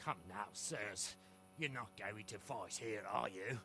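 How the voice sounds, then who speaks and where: A man's put-on character voice, fairly low in pitch and fairly slow in pace, with clear background noise. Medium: video game. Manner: folksy, anxious.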